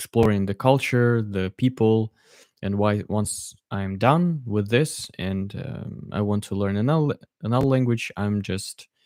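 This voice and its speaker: Fairly slowly and with ordinary pitch variation, a man with a Russian accent speaks at a fairly low pitch, in a dry, close sound with no echo on a very clean recording with a silent background. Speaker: polyglot streamer. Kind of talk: live stream Q&A. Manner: halting.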